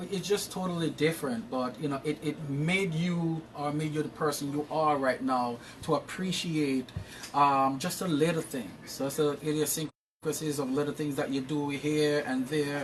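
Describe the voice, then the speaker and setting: With a Jamaican accent, a man talks at a moderate pace in a fairly high pitch and fairly even intonation. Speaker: interview guest. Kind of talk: casual interview.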